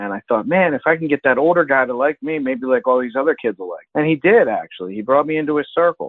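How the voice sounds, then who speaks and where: A man with an American accent, fairly high pitch, lively intonation and a very fast pace. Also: hardly any pauses. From US, South Jersey. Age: 30s. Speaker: podcast host, recovering addict. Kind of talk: interview testimony.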